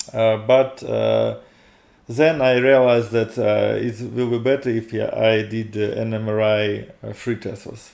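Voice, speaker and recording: In a Russian accent, a man speaks at a fairly slow pace. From Russia, Moscow. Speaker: video blogger. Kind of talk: personal testimony. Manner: halting, many fillers.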